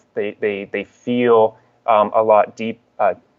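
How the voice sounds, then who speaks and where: The voice belongs to a man. He speaks with monotone, flat intonation. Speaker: alleged alien abductee sharing experiences. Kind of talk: interview. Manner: fast; expressive.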